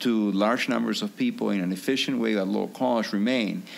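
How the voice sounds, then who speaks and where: A man with a Peruvian accent, at a moderate pace. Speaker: physician and author. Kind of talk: podcast interview. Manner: halting, many fillers.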